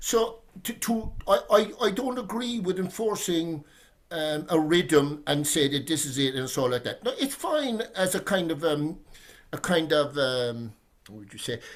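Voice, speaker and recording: A man with a Cork accent talks at a fairly slow pace in a high voice. His pitch swings very widely and his loudness rises and falls in big swings. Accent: Cork Irish. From Ireland, Cork. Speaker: poet. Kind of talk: casual discussion. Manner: halting, many repetitions.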